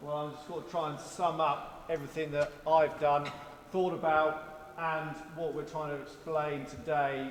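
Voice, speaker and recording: Noticeable background noise sits under a man speaking at a fairly slow pace with a fairly high pitch and a monotone, flat intonation. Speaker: farm manager. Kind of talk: open-day talk to an audience. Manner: casual, humorous, conversational.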